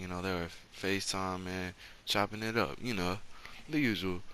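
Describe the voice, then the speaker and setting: A soft-spoken man with a very deep, low pitch, a bright, sharp tone and a moderate pace. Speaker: storytime youtuber. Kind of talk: storytime monologue. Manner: soft-spoken, talking low; casual, slangy.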